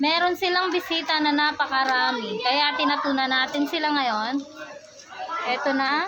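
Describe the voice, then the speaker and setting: A woman's raised, projected, high-pitched voice amid audible room echo and noticeable background noise. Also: ordinary pitch variation, moderate pace. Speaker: vlogger. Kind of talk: casual vlog. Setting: outdoors at a resort pool. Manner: loud; animated.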